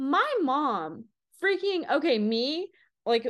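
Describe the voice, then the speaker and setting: A woman talks with pitch swinging very widely up and down. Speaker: podcast co-host. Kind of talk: casual chat.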